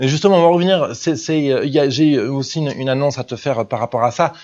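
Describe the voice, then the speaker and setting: A man with a fairly high pitch talks at a very fast pace, with ordinary pitch variation. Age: 20s. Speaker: business coach and podcast host. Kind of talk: monologue podcast review. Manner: hesitant, many fillers.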